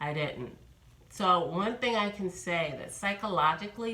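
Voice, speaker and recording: In an American accent, a woman speaks with ordinary pitch variation, with noticeable background noise and audible room echo around her. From New York. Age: 50s. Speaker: vlogger. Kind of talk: casual vlog monologue.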